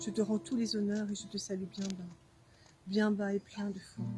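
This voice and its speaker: Over music in the background, a woman talks at a fairly slow pace with a medium pitch. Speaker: writer. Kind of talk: poetry reading. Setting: outdoors.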